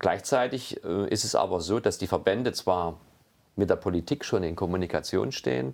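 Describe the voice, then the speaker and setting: A very deep, low-pitched man with vocal fry and lively intonation at a moderate pace. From Saxony, Meißen. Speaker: wine industry executive. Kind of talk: interview. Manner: halting, many fillers.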